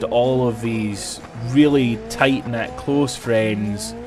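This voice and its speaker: A man with a Scottish accent speaks at a very slow pace, medium in pitch with ordinary pitch variation. Music sits in the background. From Scotland. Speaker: gaming streamer. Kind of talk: live stream chat.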